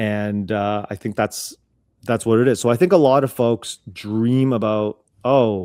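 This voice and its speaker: A dark, mellow tone at a fairly slow pace with ordinary pitch variation, in a very clean recording with a silent background and a dry, close sound with no echo. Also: man, medium pitch for a man. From North America, child of Cantonese-speaking immigrants. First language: Cantonese. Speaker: business owner. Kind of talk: interview. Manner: conversational, many fillers and restarts.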